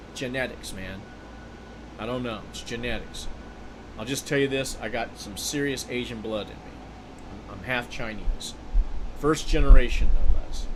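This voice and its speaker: A man with an American accent at a moderate pace, with fairly even intonation, big swings in loudness, and long, frequent pauses, amid noticeable background noise and audible room echo. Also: medium pitch for a man. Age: 60s. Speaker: video game streamer. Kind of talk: casual gameplay livestream chat.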